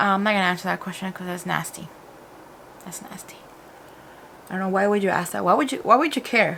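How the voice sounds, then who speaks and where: A woman's medium-pitched voice at a very fast pace, with big swings in loudness, long, frequent pauses and noticeable background noise. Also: ordinary pitch variation. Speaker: beauty YouTuber. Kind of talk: casual talk to camera. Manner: code-switching between English and Spanish.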